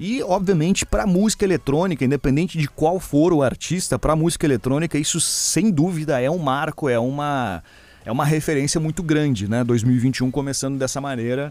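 A man with a plain, everyday voice and fairly high pitch, at a fairly quick pace, with hardly any pauses and ordinary pitch variation. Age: 30s. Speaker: DJ and radio host. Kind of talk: casual chat.

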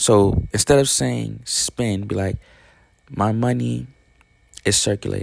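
A man with a fairly low pitch sounds animated, his pitch swinging very widely. He speaks at a fairly slow pace with long, frequent pauses. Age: 20s. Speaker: podcast host. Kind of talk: motivational monologue.

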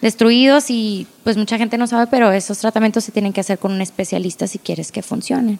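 A woman talks at a very fast pace with hardly any pauses. Her pitch is fairly high, and her intonation is fairly even. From Agua Prieta, Sonora, northern Mexico. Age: 20s. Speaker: pediatric dentist. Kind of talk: casual interview chat.

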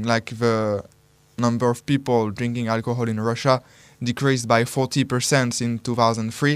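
A man speaks with a French accent at a moderate pace. His medium-pitched voice has monotone, flat intonation. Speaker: radio co-host. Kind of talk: casual chat. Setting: studio.

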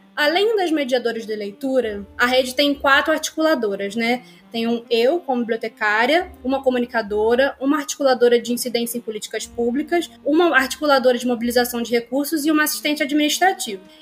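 A woman's high-pitched voice at a fairly quick pace, ordinary pitch variation, hardly any pauses, and noticeable background noise. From Nova Iguaçu, Baixada Fluminense, Rio de Janeiro state, Brazil. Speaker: librarian. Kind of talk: podcast interview.

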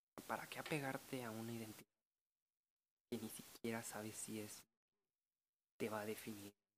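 Here a man speaks at a medium pitch and a moderate pace. His intonation is monotone and flat, with long, frequent pauses. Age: 20s. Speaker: podcaster. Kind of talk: casual monologue.

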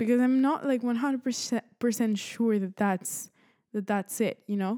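With a Spanish accent, a woman speaks at a moderate pace in a dark, mellow tone and fairly even intonation, the sound dry and close with no echo in a very clean recording with a silent background. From Spain. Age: 20s. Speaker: podcast host, college student. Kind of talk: casual monologue. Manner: halting, many fillers.

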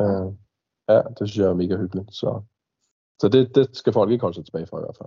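A man's fairly low, somewhat breathy voice at a fairly quick pace, with ordinary pitch variation, big swings in loudness and long, frequent pauses. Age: 30s. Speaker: airsoft milsim player. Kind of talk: casual chat. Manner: halting, many fillers.

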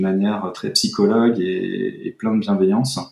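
A man talks here. His pace is fairly slow. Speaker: podcast guest, former salesman. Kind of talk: personal testimony in casual interview. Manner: halting, many repetitions and hesitations.

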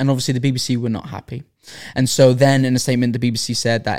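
A man's voice at medium pitch. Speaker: podcast host. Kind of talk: casual chat.

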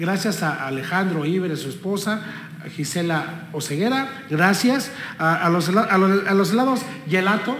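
Amid noticeable background noise and audible room echo, a man speaks at a moderate pace with a high pitch and lively intonation. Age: 50s. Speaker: interview host. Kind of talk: casual interview.

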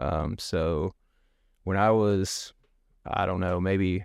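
A man with an East Tennessee accent, fairly low in pitch and fairly slow, on a very clean recording with a silent background. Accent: Southern US (East Tennessee). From US South, East Tennessee. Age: 30s. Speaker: podcast guest. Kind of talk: casual interview, personal storytelling. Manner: hesitant, many fillers and repeats.

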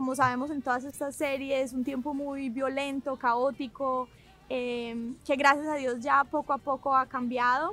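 A woman's high-pitched voice at a fairly slow pace, in a monotone, flat intonation. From Colombia, Medellín. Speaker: writer and arts entrepreneur. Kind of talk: interview testimony.

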